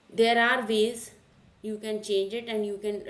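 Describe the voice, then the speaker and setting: Audible room echo surrounds the speaker, a woman. She holds a medium pitch with fairly even intonation. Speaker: cloud computing instructor. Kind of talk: lecture. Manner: slow.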